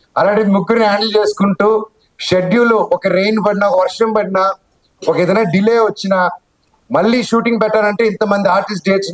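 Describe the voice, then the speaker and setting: The voice belongs to a man with a high pitch. His intonation is monotone and flat. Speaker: actor. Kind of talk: speech at a film launch event. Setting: live event on stage.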